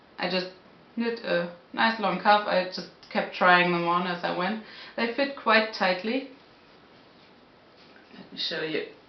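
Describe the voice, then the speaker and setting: A woman speaks at a fairly slow pace with ordinary pitch variation. Audible room echo surrounds her voice. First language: not English. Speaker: knitting podcaster. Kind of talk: casual talk to camera. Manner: hesitant, searching for words. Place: home room. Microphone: camera far.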